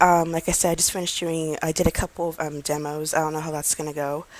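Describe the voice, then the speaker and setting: The woman speaks quietly at a very fast pace. Her pitch is fairly low. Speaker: vlogger, online English teacher applicant. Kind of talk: casual vlog talk. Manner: quiet, low-key; calm, not hyperactive.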